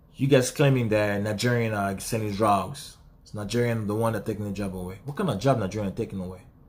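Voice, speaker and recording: A man with a non-native accent speaks at a medium pitch and a fairly quick pace. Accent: own non-native. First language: not English. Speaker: vlogger. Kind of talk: video message monologue. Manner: animated.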